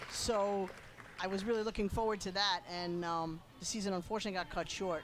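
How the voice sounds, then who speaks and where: A woman with a Long Island accent at a medium pitch, fairly even in intonation and fairly quick in pace, with music in the background. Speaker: lacrosse color commentator. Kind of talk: live sports commentary. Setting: broadcast booth.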